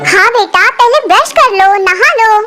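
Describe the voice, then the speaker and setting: In a cartoonish character voice, a woman speaks at an extremely high pitch and a fairly slow pace over clear background music. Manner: gentle, concerned.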